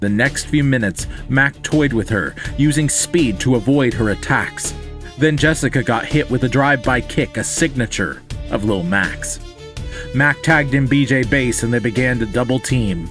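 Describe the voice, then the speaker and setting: Over music in the background, a man talks at a moderate pace and medium pitch, with ordinary pitch variation and very even loudness. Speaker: storyteller. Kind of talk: rhyming story narration.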